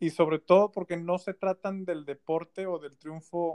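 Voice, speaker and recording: This man has a high pitch and a Mexican accent. His intonation is fairly even, and the sound is dry and close with no echo. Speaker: video producer. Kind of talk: casual chat.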